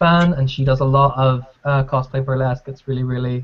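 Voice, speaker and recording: At a fairly quick pace, a man with a Northern Irish accent speaks at medium pitch in a somewhat breathy voice. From Northern Ireland. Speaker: podcast co-host. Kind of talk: casual chat.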